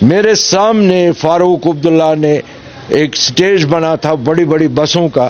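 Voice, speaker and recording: Noticeable background noise runs under a man talking at a fairly high pitch. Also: ordinary pitch variation, very even loudness. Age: 70s. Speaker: local politician, former militant. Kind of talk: interview. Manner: animated.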